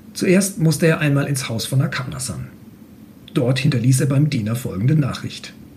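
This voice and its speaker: Set in audible room echo, a man's fairly high voice moves at a moderate pace with ordinary pitch variation. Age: 40s. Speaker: mechanical engineer. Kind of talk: reading aloud; casual interview. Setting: room with open window. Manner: halting.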